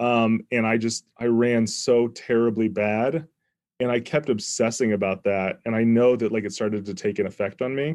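Against a quiet background, a man with an unremarkable speaking voice speaks at a medium pitch and moderate pace with fairly even intonation. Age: 30s. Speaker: professional poker player and academic. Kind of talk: casual interview.

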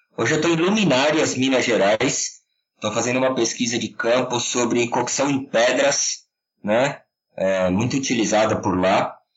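A man's medium-pitched, normal speaking voice at a moderate pace, with ordinary pitch variation and very even loudness. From São Paulo state, Serra da Cantareira. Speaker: chef and food researcher. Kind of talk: interview.

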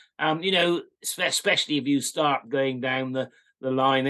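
This man has a fairly high pitch, a bright, sharp tone and ordinary pitch variation. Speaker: farmer.

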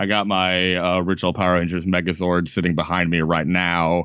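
In an American accent, a man talks with a very deep, low pitch. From Chicago. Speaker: podcast host, monster movie expert. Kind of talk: casual chat.

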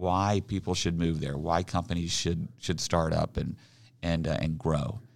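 A man talks with an American accent. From Oklahoma City, Oklahoma. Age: 50s. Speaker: regional development executive. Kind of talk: casual interview.

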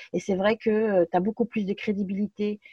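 Speaking at medium pitch and a fairly quick pace, a woman has a dark, mellow, somewhat breathy tone. Her intonation is fairly even, and the sound is dry and close with no echo. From France. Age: 30s. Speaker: aspiring cake designer. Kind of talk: interview conversation.

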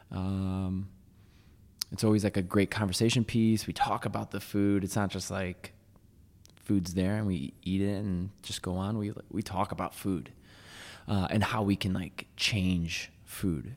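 This man has an ordinary speaking voice with a fairly low pitch. His intonation is fairly even. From US Northeast, Waterbury, Connecticut. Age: 20s. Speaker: vegan chef. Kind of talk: casual chat.

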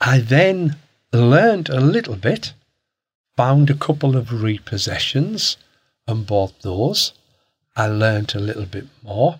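A man with a northeast English accent speaks at a fairly slow pace, somewhat breathy, with medium pitch and lively intonation. Long, frequent pauses break up his speech in a very clean recording with a silent background. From Hartlepool, northeast England. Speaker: property investor. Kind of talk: casual interview.

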